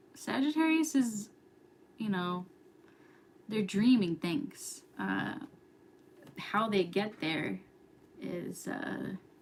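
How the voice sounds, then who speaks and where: A woman with an American accent talks at a medium pitch, using vocal fry and very wide pitch swings. Her pace is very slow, with long, frequent pauses. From New York. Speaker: astrology youtuber. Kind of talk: casual livestream chat. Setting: live stream at home. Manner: whispering, quiet.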